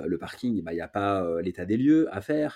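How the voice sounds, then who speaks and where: A man with a fairly low pitch and a dark, mellow tone speaks with lively intonation on a very clean recording against a silent background. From France, Paris. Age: 30s. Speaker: real estate investor and entrepreneur. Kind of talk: interview.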